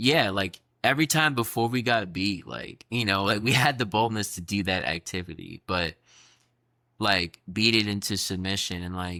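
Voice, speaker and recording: With an American accent, a man talks at a moderate pace in a fairly low pitch with a bright, sharp tone and ordinary pitch variation, on a very clean recording with a silent background. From US, North Carolina. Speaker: podcast co-host. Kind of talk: casual chat.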